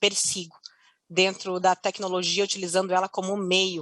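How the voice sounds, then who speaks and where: A woman with a strong Curitiba accent, medium pitch and moderate pace, in a very clean recording with a silent background and a dry, close sound with no echo. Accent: strong Paraná (Curitiba). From Curitiba, Paraná, southern Brazil. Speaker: customer success executive. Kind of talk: conference panel talk.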